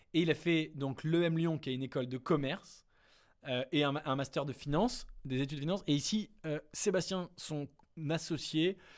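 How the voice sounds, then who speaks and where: On a very clean recording with a silent background, a man with fairly high pitch and ordinary pitch variation speaks at a moderate pace. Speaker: startup investment youtuber. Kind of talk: casual screen-share analysis. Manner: hesitant, many fillers.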